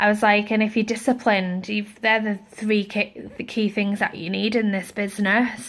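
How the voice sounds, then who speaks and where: Hardly pausing, a woman talks in a fairly high pitch with monotone, flat intonation. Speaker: network marketing saleswoman. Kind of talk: casual vlog storytelling. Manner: fast.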